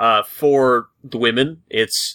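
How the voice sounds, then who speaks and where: The tone is bright, sharp and playful, captured in a very clean recording with a silent background. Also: man. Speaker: podcast host. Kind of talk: casual chat. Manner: joking, playful.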